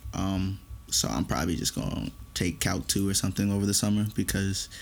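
In a plain, everyday voice, a man talks at a fairly quick pace with a fairly low pitch. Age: 20s. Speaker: college student podcast co-host. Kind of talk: casual chat.

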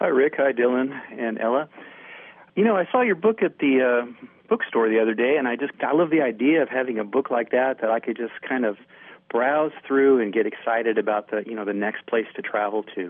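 A man with a plain, everyday voice talks at a fairly quick pace, medium in pitch and with ordinary pitch variation. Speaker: radio caller. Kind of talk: casual chat. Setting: phone call.

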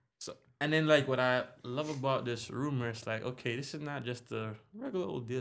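A man's medium-pitched, plain, everyday voice at a fairly quick pace, with ordinary pitch variation. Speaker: podcast co-host. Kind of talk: casual chat.

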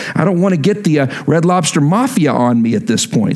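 An animated man speaks with an American accent. His fairly high voice has very wide pitch swings. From Texas. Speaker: pastor. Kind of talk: sermon. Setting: church.

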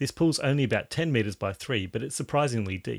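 On a very clean recording with a silent background and a dry, close sound with no echo, a man uses an ordinary speaking voice of medium pitch with lively intonation. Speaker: podcast host. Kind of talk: casual chat.

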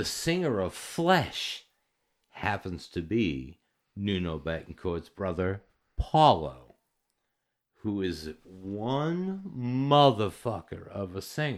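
With an American accent, a man speaks at a very slow pace, his fairly low pitch moving in very wide swings. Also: very clean recording, silent background. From Massachusetts (Natick, Boston area). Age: 40s. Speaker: recording studio owner. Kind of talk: casual chat. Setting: home studio.

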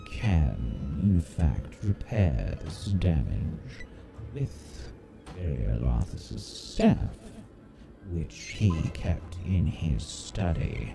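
In a put-on character voice, a man speaks very slowly at a very deep, low pitch, with clear background noise behind him. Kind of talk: archaic formal fantasy speech. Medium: actual play. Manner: formal, measured, guarded.

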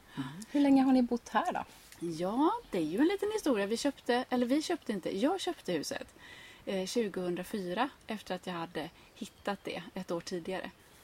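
Over noticeable background noise, a woman speaks at a moderate pace. Her fairly high voice makes very wide pitch swings. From Sweden, grew up on an island. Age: 30s. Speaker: gardening blogger and author. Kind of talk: casual interview conversation.

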